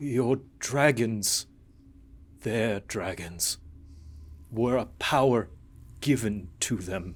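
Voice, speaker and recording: In a put-on character voice, the speaker goes at a very slow pace with long, frequent pauses, on a very clean recording with a silent background. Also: man, medium pitch for a man. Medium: actual play. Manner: solemn, measured.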